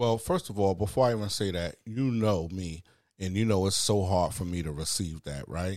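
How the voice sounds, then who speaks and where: A man with a Bronx accent, very deep and low in pitch, at a moderate pace. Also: ordinary pitch variation, very clean recording, silent background. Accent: New York, Bronx. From the Bronx, New York. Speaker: guest. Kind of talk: casual chat. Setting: studio.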